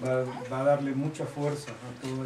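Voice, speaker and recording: A man speaks at a medium pitch in a flat monotone. Noticeable background noise sits behind him. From Ecuador, Guayaquil; Ecuador. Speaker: visiting spiritual teacher. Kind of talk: informal address to a group. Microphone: camera far.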